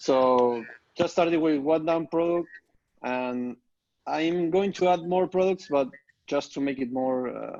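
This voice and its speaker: A man speaks in a fairly high voice with a dark, mellow tone and ordinary pitch variation. He talks at a fairly slow pace with long, frequent pauses. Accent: slight non-native. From Argentina. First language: Spanish. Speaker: online course student. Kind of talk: group coaching call. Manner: halting, many fillers.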